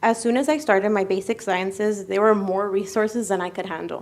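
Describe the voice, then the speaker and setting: A woman with a normal speaking voice talks at medium pitch and a moderate pace. Her intonation is fairly even, and the recording is very clean with a silent background. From United States. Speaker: medical student. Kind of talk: speech. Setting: ceremony.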